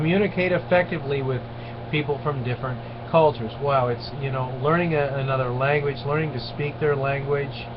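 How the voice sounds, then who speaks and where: A man at a fairly high pitch, fairly quick pace and fairly even intonation, with noticeable background noise and audible room echo. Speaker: lecturer. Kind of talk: online lecture. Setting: webcam recording.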